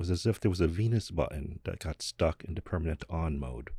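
A man talks at a very fast pace with a dark, mellow tone, vocal fry and lively intonation. The recording is very clean, with a silent background. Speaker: podcast host. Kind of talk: guided meditation.

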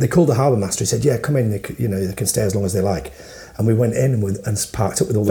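A man with a Yorkshire accent talks very fast in an animated tone, his pitch fairly low with ordinary variation. Noticeable background noise runs underneath. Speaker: podcast co-host. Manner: casual, animated storyteller.

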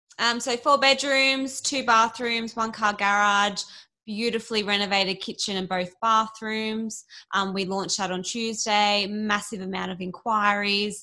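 A woman's fairly high, bright and sharp voice with an Australian accent, fairly slow and fairly even in intonation, on a very clean recording with a silent background. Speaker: real estate agent, podcast co-host. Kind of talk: property listing rundown.

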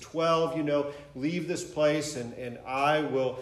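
A man speaks at a fairly high pitch with fairly even intonation. Noticeable background noise and audible room echo surround his voice. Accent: American. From Michigan. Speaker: pastor. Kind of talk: sermon. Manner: halting.

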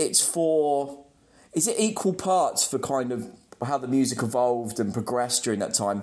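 This man has an English accent. He speaks at a fairly slow pace. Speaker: metal podcast co-host. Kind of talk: casual chat.

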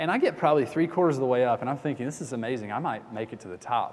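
In an American accent, a man talks with a plain, everyday voice at a medium pitch with ordinary pitch variation. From US South, Atlanta. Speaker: pastor. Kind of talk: sermon.

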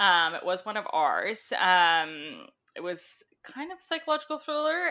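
With a Canadian accent, a woman talks in very wide pitch swings. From Ontario, Canada. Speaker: book sales rep. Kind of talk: casual interview chat. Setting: video call. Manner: many filler ums, chatty.

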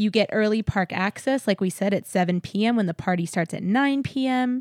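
On a very clean recording with a silent background, a woman with an American accent uses an ordinary speaking voice at a moderate pace with ordinary pitch variation. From San Antonio, Texas. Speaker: podcast host. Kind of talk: casual chat.

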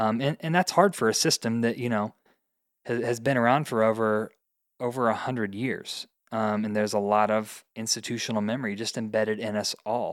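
Speaking with an American accent, a man has an ordinary speaking voice and fairly even intonation at a moderate pace. The recording is very clean, with a silent background. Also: medium pitch for a man. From US Midwest, Indiana. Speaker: teacher. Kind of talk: casual interview.

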